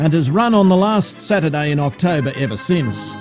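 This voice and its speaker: Music plays in the background as a man talks at a fairly quick pace. His pitch is fairly high and his intonation lively. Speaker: amateur filmmaker. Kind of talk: vintage newsreel-style documentary narration.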